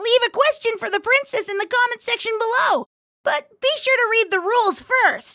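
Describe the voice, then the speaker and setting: A squeaky, cartoonish character voice from a woman, pitched extremely high. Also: moderate pace. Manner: sarcastic, cocky.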